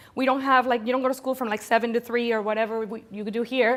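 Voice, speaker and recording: With a Spanish accent, a woman speaks at a high pitch. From Venezuela (Caracas). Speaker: corporate storyteller and speaker. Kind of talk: conference talk. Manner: animated.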